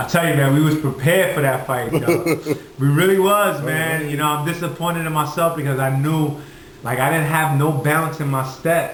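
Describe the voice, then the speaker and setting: Noticeable background noise sits under a man with an American accent. He speaks at a fairly high pitch and moderate pace, with fairly even intonation. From Red Hook, Brooklyn, New York. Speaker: professional boxer. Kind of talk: interview answer. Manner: casual, conversational.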